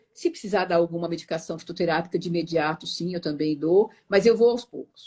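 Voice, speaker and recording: A woman talks at a fairly quick pace with hardly any pauses, in a plain, everyday voice. Her pitch is fairly low with ordinary variation, and her loudness swings widely. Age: 60s. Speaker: meditation teacher. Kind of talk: interview.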